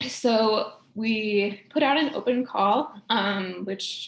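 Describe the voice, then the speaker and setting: Fairly even intonation in a woman's somewhat breathy voice. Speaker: postdoctoral researcher. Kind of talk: research talk. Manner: hesitant, many fillers.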